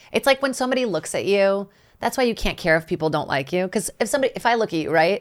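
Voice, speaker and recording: A woman's medium-pitched voice racing at a very fast pace with lively intonation, on a very clean recording with a silent background. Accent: American. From Brazil, São Paulo. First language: Portuguese. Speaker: stand-up comedian. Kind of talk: casual chat.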